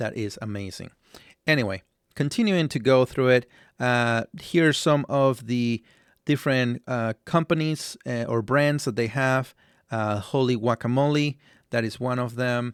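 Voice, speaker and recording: A man's medium-pitched voice at a fairly slow pace, with ordinary pitch variation and a dry, close sound with no echo. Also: very clean recording, silent background. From Latin American background. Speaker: stock analysis YouTuber. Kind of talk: tutorial. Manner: halting, many fillers.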